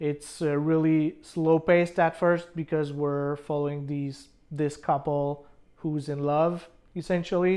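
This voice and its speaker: In a French accent, a woman speaks at a fairly slow pace with a very deep, low pitch and monotone, flat intonation. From France or French-speaking region. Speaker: movie reviewer. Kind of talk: casual review monologue. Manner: hesitant, many fillers.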